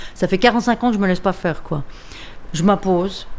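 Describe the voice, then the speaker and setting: A woman speaks at a medium pitch. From Switzerland, Lausanne (Vaud). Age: 60s. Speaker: comic book artist. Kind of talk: documentary interview. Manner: casual, slangy.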